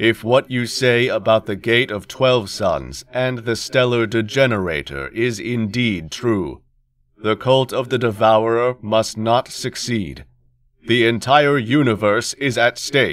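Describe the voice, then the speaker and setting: A man in a put-on character voice speaks at a fairly slow pace with a medium pitch. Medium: read story. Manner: flat, unemotional.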